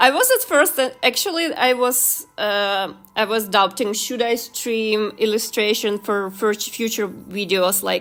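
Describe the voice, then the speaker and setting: With a non-native accent, a woman talks at a very slow pace in a bright, sharp tone, with a fairly high pitch and ordinary pitch variation. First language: not English. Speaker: YouTuber and illustrator. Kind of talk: casual livestream chat while drawing. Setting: livestream. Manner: halting, many fillers.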